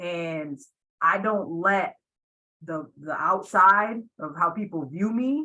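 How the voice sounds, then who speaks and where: A woman with a Puerto Rican accent, her pitch fairly low, her tone bright and sharp, her intonation lively. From Puerto Rico. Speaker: athletic director. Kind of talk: webinar panel discussion. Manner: loud.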